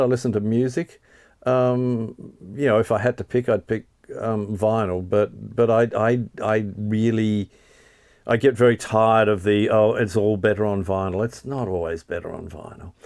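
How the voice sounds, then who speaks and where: With an Australian accent, the man talks at a medium pitch. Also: ordinary pitch variation. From Tasmania, Australia. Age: 60s. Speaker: music journalist and author. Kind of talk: interview, quickfire questions. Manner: hesitant, many fillers.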